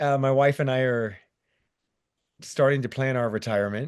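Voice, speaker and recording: Ordinary pitch variation over a quiet background. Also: man. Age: 60s. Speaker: theme park stunt performer. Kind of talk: casual chat.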